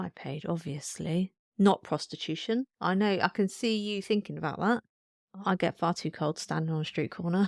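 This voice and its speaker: In a very clean recording with a silent background and a dry, close sound with no echo, a woman uses an ordinary speaking voice at medium pitch, with ordinary pitch variation and a moderate pace. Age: 30s. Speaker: podcast co-host, mother. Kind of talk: casual chat. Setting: home, on the sofa.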